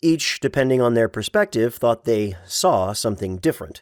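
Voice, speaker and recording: A man with an ordinary speaking voice, medium pitch, and lively intonation on a very clean recording with a silent background. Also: dry, close sound with no echo. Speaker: voice actor. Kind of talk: audiobook narration.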